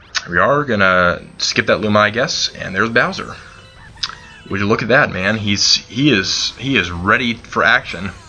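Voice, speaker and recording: A man at a fairly low pitch and moderate pace, ordinary pitch variation, with music in the background. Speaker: gaming channel host. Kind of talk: let's play commentary. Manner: halting, many repeated words and fillers; unscripted, casual.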